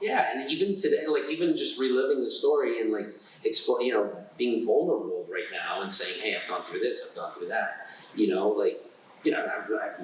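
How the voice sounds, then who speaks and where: A man in an American accent is heard through audible room echo, with clearly noticeable background noise. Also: fairly quick pace. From New Jersey, US (Newark). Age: 30s. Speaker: doctor. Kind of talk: casual interview. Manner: halting.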